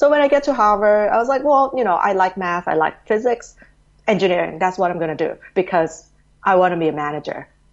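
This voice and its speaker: A woman's medium-pitched voice with a Thai accent, very fast and with lively intonation. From Thailand, Bangkok. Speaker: education company executive. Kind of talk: interview. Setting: remote call.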